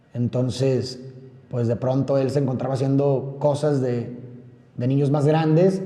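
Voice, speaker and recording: In a room with audible echo, a man speaks at a medium pitch with ordinary pitch variation. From Monterrey, Nuevo León, Mexico. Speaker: podcaster. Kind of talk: personal monologue. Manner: fast.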